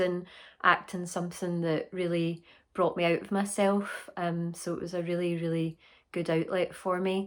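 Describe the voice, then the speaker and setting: A woman speaks in a Scottish accent on a very clean recording with a silent background. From Scotland. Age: 30s. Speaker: actor. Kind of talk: interview.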